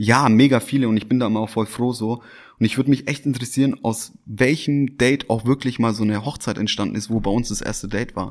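A man at a very fast pace on a very clean recording, silent background. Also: medium pitch for a man, fairly even intonation. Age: 30s. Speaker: restaurant owner. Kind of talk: casual interview. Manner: hesitant, repeats words.

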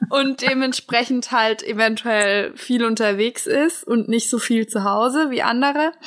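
A woman's high-pitched voice at a fairly slow pace, with very even loudness and hardly any pauses. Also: ordinary pitch variation. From Bavaria, near Augsburg. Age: 20s. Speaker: podcast host. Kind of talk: casual chat.

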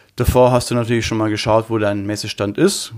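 This man has a normal speaking voice at a medium pitch and talks at a moderate pace. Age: 40s. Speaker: trade show fitter. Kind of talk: interview.

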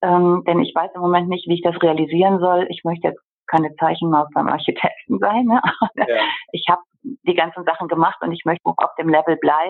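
Someone with an unremarkable speaking voice talks at a fairly quick pace, with ordinary pitch variation. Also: woman, fairly low pitch for a woman. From Germany, Bergisches Land. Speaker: interior architect. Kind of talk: interview.

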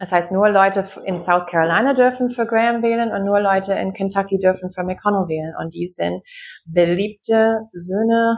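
Speaking with an American accent, a woman keeps a medium pitch and a fairly even intonation. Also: moderate pace. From US Midwest, Wisconsin. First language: English (speaking German). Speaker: anthropologist. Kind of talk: online discussion, guest talk. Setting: video call. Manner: halting, many fillers.

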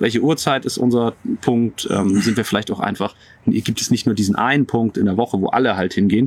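A man at a very fast pace, medium in pitch, with ordinary pitch variation. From northern Germany. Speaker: pastor. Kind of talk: casual interview chat. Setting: outdoors in a garden.

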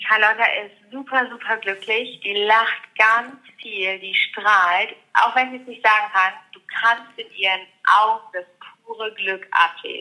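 A woman talks in a normal speaking voice, fairly high and fairly even in intonation. She goes at a fairly slow pace, and her loudness swings widely. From Ruhr area, Germany. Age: 30s. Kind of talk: interview.

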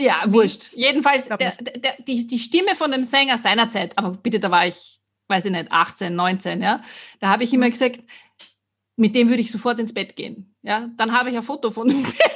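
Set against a quiet background, the speech moves at a fairly quick pace with ordinary pitch variation. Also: woman, fairly high pitch for a woman. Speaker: podcast co-host, voice coach and singer. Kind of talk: casual chat. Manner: fast when excited.

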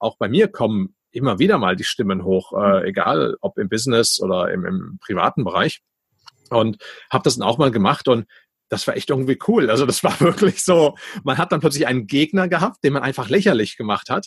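A man with a medium pitch talks at a fairly quick pace, his pitch swinging very widely. His voice is somewhat breathy, and the sound is dry and close with no echo. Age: 40s. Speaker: podcast host and entrepreneur. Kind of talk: casual interview.

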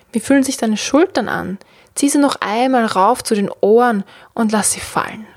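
With an ordinary speaking voice, a woman talks at a fairly high pitch. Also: ordinary pitch variation. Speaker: podcast host and meditation guide. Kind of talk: guided meditation. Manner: slow, soothing, calm; gentle, with long pauses.

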